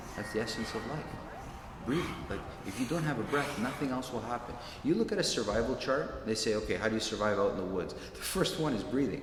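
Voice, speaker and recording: With a Canadian accent, a man talks at a very fast pace in a medium pitch with ordinary pitch variation. Noticeable background noise and audible room echo fill the recording. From Toronto, Canada. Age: 50s. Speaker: martial arts instructor. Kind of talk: interview monologue. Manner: casual, with fillers.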